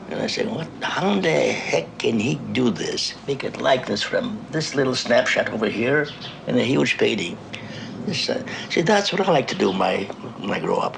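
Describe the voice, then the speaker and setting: Noticeable background noise fills the clip. Over it, a man speaks at a moderate pace. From Russia. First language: Russian. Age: 80s+. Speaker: painter. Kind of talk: documentary interview.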